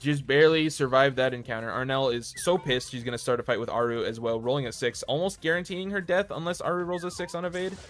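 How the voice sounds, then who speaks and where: Speech comes at a very fast pace with hardly any pauses and lively intonation. Background noise is noticeable. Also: man, fairly high pitch for a man. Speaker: streamer and game commentator. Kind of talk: live game commentary. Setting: live stream. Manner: fast, auctioneer-like.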